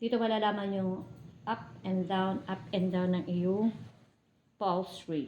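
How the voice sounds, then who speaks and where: Soft-spoken and fairly slow, a woman talks at a medium pitch in a dark, mellow tone with fairly even intonation. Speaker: vlogger. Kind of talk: casual vlog narration.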